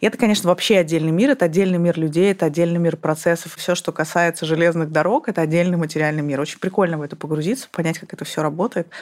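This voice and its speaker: A fairly low-pitched woman talking very fast, with hardly any pauses. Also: ordinary pitch variation. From Kazakhstan, Almaty. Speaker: former bank CEO. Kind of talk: casual interview.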